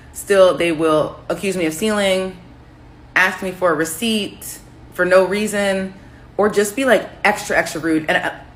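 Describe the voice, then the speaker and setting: Audible echo fills the room. In it, a woman with an American accent talks at a moderate speed. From United States. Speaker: social media commentator. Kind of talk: casual vlog monologue.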